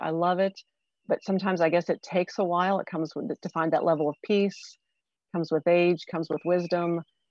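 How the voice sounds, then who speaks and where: A woman speaks in an ordinary speaking voice, fairly low in pitch and at a fairly quick pace. Her intonation stays fairly even, and the sound is dry and close with no echo. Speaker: co-host, economic development director. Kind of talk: casual interview.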